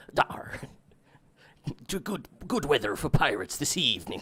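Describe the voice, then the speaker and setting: A man uses a raspy, put-on character voice with very wide pitch swings. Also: fairly high pitch for a man, moderate pace. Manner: playful.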